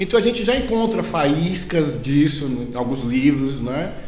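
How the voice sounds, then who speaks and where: Amid noticeable background noise and audible room echo, a man speaks at a fairly high pitch with lively intonation. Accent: Bahian. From Brazil, Bahia (Salvador). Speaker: university professor of biology. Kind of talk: casual academic interview.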